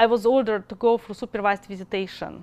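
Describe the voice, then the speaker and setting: With a Russian accent, a woman talks at a medium pitch and with fairly even intonation against a quiet background. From Russia, Moscow. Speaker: mother in custody dispute. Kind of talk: testimony.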